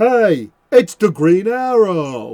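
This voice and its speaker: Put-on character voice from a man, pitched high. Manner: emoted, gruff, theatrical.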